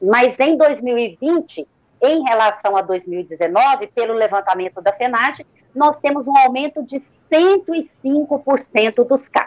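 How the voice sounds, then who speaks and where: A high-pitched woman's voice with lively intonation at a very slow pace, in a dry, close sound with no echo. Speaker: journalists' union president. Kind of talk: interview. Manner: formal.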